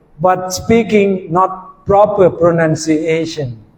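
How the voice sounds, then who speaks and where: A man speaks with a high pitch and ordinary pitch variation. Noticeable background noise sits behind him. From Thailand. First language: Thai. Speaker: university lecturer. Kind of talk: lecture. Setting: classroom.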